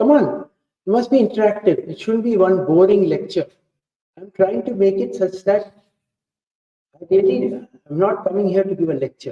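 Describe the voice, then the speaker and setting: This man has an Indian accent and a dark, mellow tone. His pitch is high, and he keeps a moderate pace. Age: 70s. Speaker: professor. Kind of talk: talk to students. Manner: interactive, coaxing questions.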